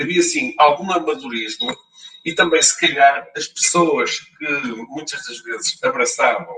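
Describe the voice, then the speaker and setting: A man speaks at a fairly slow pace in a European Portuguese accent, with noticeable background noise. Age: 60s. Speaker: local government finance practitioner. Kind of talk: panel talk. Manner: halting, many fillers and repetitions.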